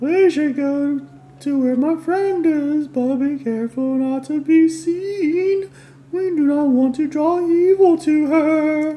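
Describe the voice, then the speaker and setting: A put-on character voice pitched high talks at a fairly slow pace. Light background noise is present. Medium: game stream. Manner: pleading, overly earnest.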